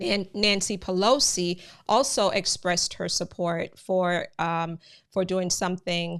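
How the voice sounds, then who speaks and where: A woman with a slight Jamaican accent speaks at a fairly slow pace. Her intonation is fairly even, and the recording is very clean with a silent background. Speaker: immigration news channel host. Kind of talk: live stream commentary. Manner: conversational, many filler words.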